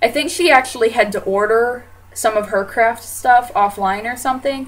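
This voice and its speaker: She has an American accent. Her speaking rate is moderate. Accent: Southern US, sometimes. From US South. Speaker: fashion vlogger. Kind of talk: video introduction vlog. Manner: casual, many filler words.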